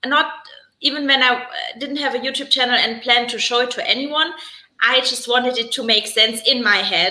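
Speaking in a German accent, a woman has a high pitch and fairly even intonation. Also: moderate pace. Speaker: stay-at-home mom and new YouTuber. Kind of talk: casual live chat interview. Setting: live stream.

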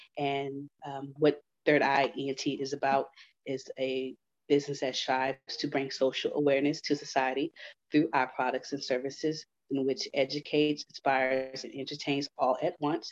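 A woman with an American accent talks at a moderate pace in a very deep, low pitch. Her intonation is monotone and flat, and the sound is dry and close with no echo. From Houston, Texas. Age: 30s. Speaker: author. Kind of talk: interview.

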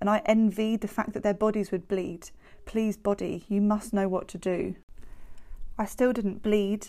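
With a British accent and a dark, mellow tone, a woman speaks at a medium pitch and moderate pace with fairly even intonation. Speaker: podcast host with MRKH sharing her story. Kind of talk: spoken word poetry, reflective and personal. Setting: podcast recording. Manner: measured, rhythmic, emotive poetic delivery.

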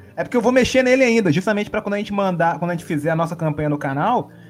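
Lively intonation marks a man's speech, his pitch high. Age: 30s. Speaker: game cover artist and RPG YouTuber. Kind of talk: casual chat.

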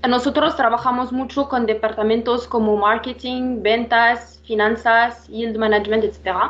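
A woman at a fairly slow pace, her intonation monotone and flat. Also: hardly any pauses. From Morocco. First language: not Spanish (Moroccan, studied in France) (speaking Spanish). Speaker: revenue management analyst. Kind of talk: interview. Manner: halting, many fillers.

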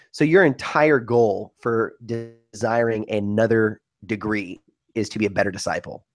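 A man talks in a normal speaking voice at medium pitch with ordinary pitch variation. His pace is moderate, and the background is quiet. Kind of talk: casual chat.

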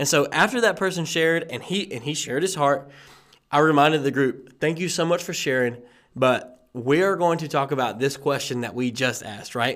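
A man with an ordinary speaking voice, fairly high pitch and ordinary pitch variation, at a fairly quick pace on a very clean recording with a silent background. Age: young. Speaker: podcast host. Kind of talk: casual chat.

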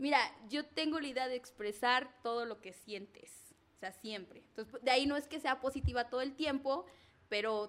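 Fairly quick, high-pitched speech from a woman, with ordinary pitch variation. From Mexico, Zacatelco, Tlaxcala. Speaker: entrepreneur, pole dance instructor. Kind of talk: casual interview.

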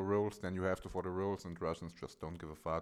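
Here is a man with an unremarkable speaking voice. He talks at a fairly low pitch with fairly even intonation. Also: very clean recording, silent background. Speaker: podcast co-host. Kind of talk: casual chat.

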